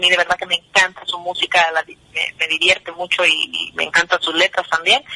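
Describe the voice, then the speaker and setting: A woman speaks at a medium pitch in a dry, close sound with no echo, with noticeable background noise. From New Jersey, US (Guatemalan parents). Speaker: singer. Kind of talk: radio interview.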